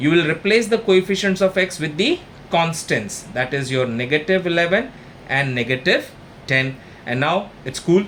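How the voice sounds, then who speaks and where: Speaking with an Indian accent, a man keeps a moderate pace and ordinary pitch variation. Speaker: maths tutor. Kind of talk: tutorial.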